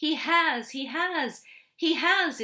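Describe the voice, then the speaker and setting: A woman uses a put-on character voice that is squeaky and extremely high. She raises and projects her voice. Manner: frantic, insistent.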